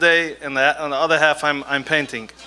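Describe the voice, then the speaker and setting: Monotone, flat intonation from a man, fairly high in pitch. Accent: non-native. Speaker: artist and scribe. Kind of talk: stage talk. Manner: halting.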